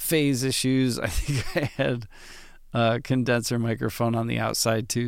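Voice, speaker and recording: A man's medium-pitched voice at a moderate pace on a very clean recording with a silent background. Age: 30s. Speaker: drummer. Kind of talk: casual monologue. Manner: relaxed, late-night with yawns.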